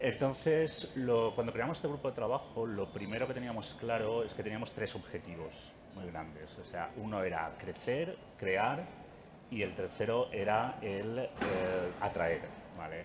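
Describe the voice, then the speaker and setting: A man at a medium pitch and a fairly slow pace, lively in intonation, with noticeable background noise. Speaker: industry association representative. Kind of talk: panel discussion. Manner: soft-spoken; halting.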